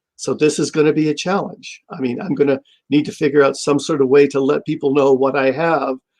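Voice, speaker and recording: A man speaks at a fairly quick pace with a fairly high pitch. His intonation is fairly even. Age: 60s. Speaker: comic shop owner. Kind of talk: interview. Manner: halting.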